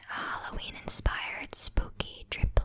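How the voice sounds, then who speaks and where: A woman is whispering at a very slow pace. Noticeable background noise sits behind her. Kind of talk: ASMR crafting tutorial. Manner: whispered.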